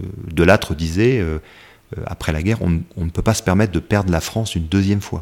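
A man with a very deep, low pitch talks at a fairly quick pace with ordinary pitch variation. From West Africa. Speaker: army officer. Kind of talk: interview. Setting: office.

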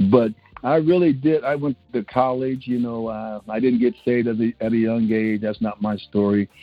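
A man talks at a moderate speed while music plays behind him. His voice sits at a medium pitch and varies in an ordinary way. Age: 60s. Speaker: pastor. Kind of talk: interview conversation.

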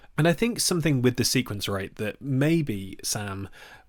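Recorded very cleanly against a silent background, a man with an East Midlands accent speaks at medium pitch with lively intonation. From England, Nottingham. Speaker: film journalist, podcast host. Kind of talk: casual chat.

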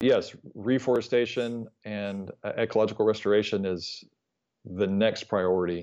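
Against a quiet background, a man talks at a moderate pace and a fairly low pitch. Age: 40s. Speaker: nonprofit founder. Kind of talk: interview. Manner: halting, many filler words.

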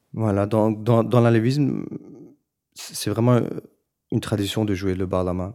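A man's fairly low, dark and mellow voice carries fairly even intonation in a very clean recording with a silent background. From Belgium, Brussels, Turkish family. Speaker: musician. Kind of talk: documentary interview.

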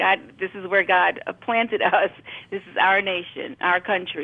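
An ordinary speaking voice with an American accent moves at a fairly slow pace with ordinary pitch variation. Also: woman. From Brooklyn, New York. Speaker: educator. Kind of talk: casual chat.

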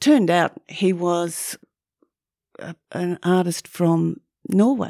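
With an Australian accent, a woman speaks very slowly at a fairly low pitch, her dark, mellow tone showing ordinary pitch variation and long, frequent pauses, in a very clean, dry, close recording with no echo and a silent background. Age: 70s. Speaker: photographer. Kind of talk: casual interview chat. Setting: studio.

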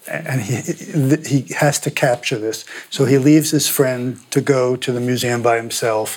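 A man's medium pitch in a plain, everyday voice, at a fairly slow pace. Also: fairly even intonation. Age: 60s. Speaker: painter and biographer. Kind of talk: interview conversation.

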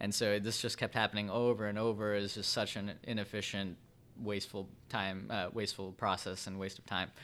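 A man speaks with a Chicago-area accent at a fairly quick pace, his pitch fairly low. His intonation is flat and monotone, and the recording is very clean with a silent background. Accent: Chicago-area American English. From Chicago suburbs, Illinois (Vernon Hills). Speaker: startup co-founder and COO. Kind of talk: interview.

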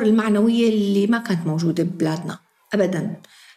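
A woman's medium-pitched voice, dark and mellow in tone and somewhat breathy. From Syria, Daraa. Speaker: teacher. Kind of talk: interview.

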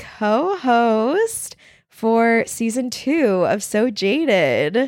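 Lively in intonation, a woman with an American accent speaks over a very clean recording with a silent background. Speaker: podcast host. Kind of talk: casual chat.

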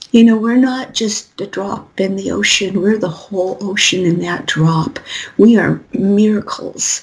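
With noticeable background noise behind her, a woman speaks at a fairly slow pace and a medium pitch. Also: ordinary pitch variation. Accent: American. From Colorado, US. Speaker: spiritual reader and author. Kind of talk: interview. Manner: rambling, run-on.

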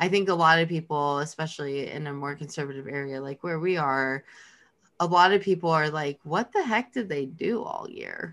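A woman's very deep, low voice with ordinary pitch variation at a moderate pace, on a very clean recording with a silent background. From Los Angeles, California. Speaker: podcast co-host. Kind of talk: casual chat.

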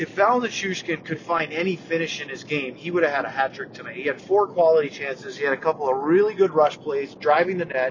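A loud, animated man, fairly high in pitch, at a fairly quick pace over noticeable background noise. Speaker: hockey podcast host. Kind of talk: casual sports chat podcast. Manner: animated, loud.

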